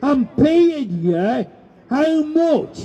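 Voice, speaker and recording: Through noticeable background noise, a man speaks at a very slow pace with an extremely high pitch. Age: 70s. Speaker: campaigner. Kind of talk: public speech. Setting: outdoor demonstration.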